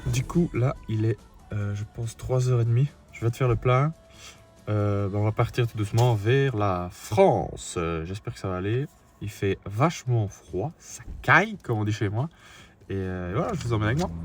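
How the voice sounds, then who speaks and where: This man talks with a Liège accent at medium pitch and a moderate pace. His voice is somewhat breathy, with ordinary pitch variation. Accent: Liège Belgian French. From Belgium, Liège. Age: 20s. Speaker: travel vlogger. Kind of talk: casual travel vlog; scripted intro narration.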